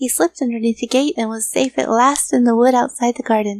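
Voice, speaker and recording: An ordinary speaking voice: a woman with a fairly high pitch, fairly quick pace and fairly even intonation, in a dry, close sound with no echo. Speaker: voice actor. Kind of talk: children's story reading.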